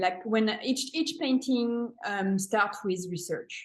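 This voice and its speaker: A woman talks at a very slow pace in a French accent. Her pitch is fairly high, with ordinary variation. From France, Paris. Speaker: painter and art teacher. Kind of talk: interview. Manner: halting.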